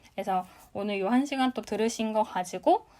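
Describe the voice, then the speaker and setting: A normal speaking voice at a moderate pace with ordinary pitch variation, in a very clean recording with a silent background. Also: woman. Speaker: business talk show host. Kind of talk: live audio room lecture. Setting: live audio chat room broadcast.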